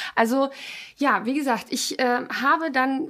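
The recording is very clean, the background silent. A woman speaks at a very slow pace. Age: 20s. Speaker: podcast co-host, former model contestant and animal rescue activist. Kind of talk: casual chat.

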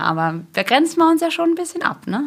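A woman's voice at a moderate pace. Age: 30s. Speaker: police press officer. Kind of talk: casual panel chat. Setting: studio.

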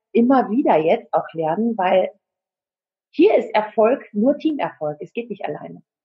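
A woman's fairly high, somewhat breathy voice at a fairly slow pace. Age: 40s. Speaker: coach and network marketing partner. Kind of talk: interview, personal life story. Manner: hesitant with many fillers.

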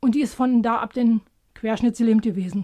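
A woman's dark, mellow tone at a high pitch, delivered at a fairly quick pace. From Saxony-Anhalt, eastern Germany. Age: 40s. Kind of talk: interview.

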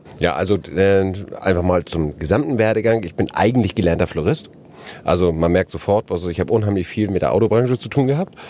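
Over noticeable background noise, a man with a very deep, low voice talks at a very fast pace with lively intonation. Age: 50s. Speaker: entrepreneur, franchisor. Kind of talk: interview. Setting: podcast bus at a trade fair.

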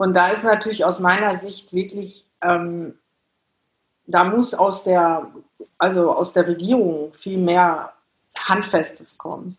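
Long, frequent pauses break up a woman's very slow speech, delivered at medium pitch with fairly even intonation. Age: 50s. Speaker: works council chair and bank supervisory board member. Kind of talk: interview.

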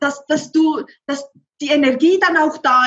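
Speaking with a Swiss accent, a woman keeps a fairly slow pace. Her pitch variation is ordinary. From French-speaking Switzerland. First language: French (speaking German). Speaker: author and manifestation coach. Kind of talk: interview conversation.

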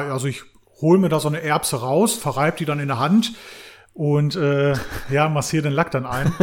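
A plain, everyday voice from a man, pitched fairly high, its pitch varying in an ordinary way. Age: 30s. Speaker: car detailing business owner. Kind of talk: casual chat. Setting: recorded standing at guest's premises.

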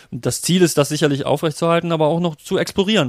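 In a normal speaking voice, a man talks fairly quickly at a fairly high pitch with fairly even intonation. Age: 30s. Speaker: software designer and personal training client. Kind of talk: casual interview.

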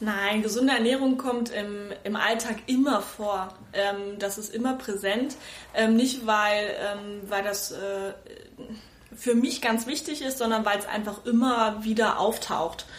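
Audible room echo hangs around a somewhat breathy voice that moves at a very slow pace with fairly even intonation. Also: woman, fairly high pitch for a woman. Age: 30s. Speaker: mother of two. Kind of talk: casual interview. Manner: hesitant, many fillers.

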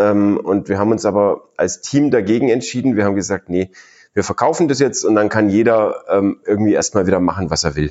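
A man talks at a fairly quick pace with a fairly low pitch. His loudness stays very even, with ordinary pitch variation. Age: 40s. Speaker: retired startup founder and mentor. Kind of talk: interview. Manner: animated.

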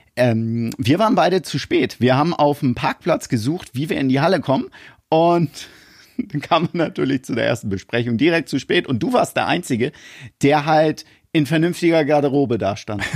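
A normal speaking voice with lively intonation moves at a moderate pace, in dry, close sound with no echo and a very clean recording with a silent background. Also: man, fairly high pitch for a man. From Germany, Hamburg. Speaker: wrestling commentator and TV producer. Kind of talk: casual chat.

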